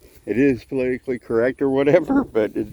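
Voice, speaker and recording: A man with a Texan accent speaks at a very fast pace in a dark, mellow tone. The sound is dry and close with no echo. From Texas, Houston. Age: 50s. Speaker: vlogger. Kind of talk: casual vlog monologue. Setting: outdoors, walking along a road.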